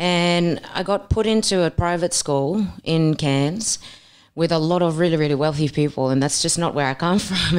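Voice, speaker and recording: Fairly even intonation runs through a woman's speech at a moderate pace. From Papua New Guinea, Milne Bay. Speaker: boxer and personal trainer. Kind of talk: podcast interview.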